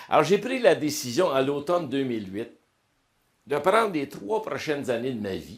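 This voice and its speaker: A man speaks at a fairly slow pace, his loudness swinging widely and his pitch leaping over a very wide range. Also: fairly high pitch for a man. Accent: Quebec. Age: 60s. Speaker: motivational speaker and coach. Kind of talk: interview testimony. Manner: casual, colloquial.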